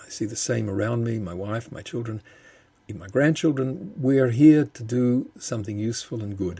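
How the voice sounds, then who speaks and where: Somewhat breathy and dark, mellow in tone, a man with an Australian accent talks at a moderate pace and medium pitch. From Australia, Melbourne. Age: 70s. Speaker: bereaved father and justice campaigner. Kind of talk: podcast interview. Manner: halting, repeats words.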